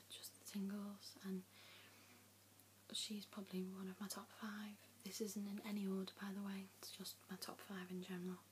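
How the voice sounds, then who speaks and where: Whispering, a soft-spoken woman talks at a moderate pace. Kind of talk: ASMR Q and A, soft spoken talk to camera. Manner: soft-spoken, whispering.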